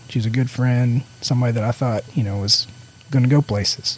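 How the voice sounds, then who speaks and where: Soft-spoken, a man talks at medium pitch with fairly even intonation. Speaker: church staff member. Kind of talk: casual chat.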